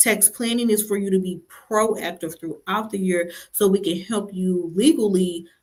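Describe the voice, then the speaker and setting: With a plain, everyday voice, a woman talks at a moderate pace and medium pitch, with ordinary pitch variation. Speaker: tax preparer. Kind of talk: live stream talk. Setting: livestream.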